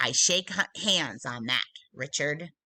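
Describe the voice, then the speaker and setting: A put-on character voice, raspy and low-to-middle in pitch, at a fairly slow pace. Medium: read story.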